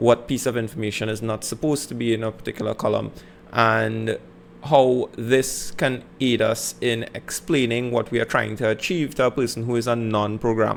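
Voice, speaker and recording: A man speaks at a moderate pace with a Trinidadian accent. His pitch is medium and his intonation fairly even. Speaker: teacher. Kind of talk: educational lecture.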